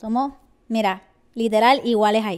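A woman speaks in an animated tone over a quiet background. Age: 20s. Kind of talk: casual vlog monologue. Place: home room. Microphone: handheld.

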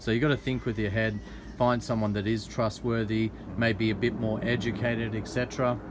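A man with an Australian accent at a medium pitch, moderate pace, very even loudness and monotone, flat intonation. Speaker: vlogger / interviewer. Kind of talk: casual interview.

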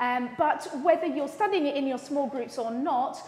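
A woman with a high pitch and ordinary pitch variation talks amid audible room echo. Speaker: lead minister. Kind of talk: welcome announcements to congregation. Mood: warm, cheerful, laughing. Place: church.

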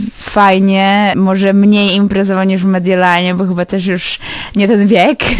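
A woman speaks at a medium pitch and a fairly slow pace. Noticeable background noise runs underneath. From Poland, Lublin. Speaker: university graduate. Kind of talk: radio interview.

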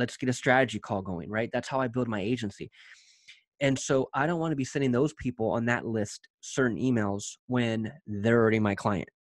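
A man talking at a fairly quick pace, with ordinary pitch variation, a dry sound with no echo and a quiet background. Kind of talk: tutorial. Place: home room.

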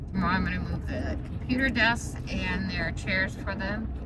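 A moderate pace carries the speech along. Behind it, background noise is loud. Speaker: vlogger driving. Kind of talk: casual vlog chat. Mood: upbeat. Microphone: phone near.

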